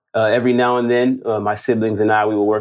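With a Los Angeles accent, a man talks very fast in a fairly low, monotone voice with flat intonation, on a very clean recording with a silent background. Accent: American, Los Angeles. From Los Angeles, Inglewood. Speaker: real estate wholesaler. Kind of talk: interview. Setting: studio.

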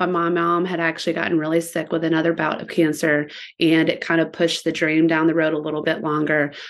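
Against a quiet background, a woman speaks in a normal speaking voice, fairly low in pitch, at a fairly quick pace with hardly any pauses. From Virginia Beach, Virginia. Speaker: shop owner. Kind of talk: casual chat.

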